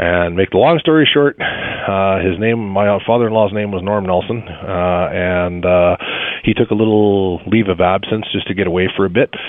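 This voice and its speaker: Here a man with a Canadian accent talks at a moderate pace in a fairly low pitch. His pitch varies in an ordinary way, and there is noticeable background noise. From Winnipeg, Canada. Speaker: radio caller. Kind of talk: casual chat.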